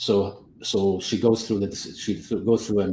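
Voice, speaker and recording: A man with a non-native accent speaks in a very deep, low voice that is dark, mellow and somewhat breathy, with monotone, flat intonation. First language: not English. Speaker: business coach and photographer. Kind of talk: casual panel chat. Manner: halting, many repetitions.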